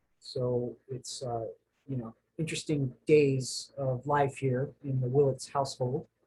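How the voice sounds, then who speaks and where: This man's voice sits fairly high and carries a slight breathiness. He has an American accent. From New Jersey, later Florida. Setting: home study, recorded video. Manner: casual, halting with fillers.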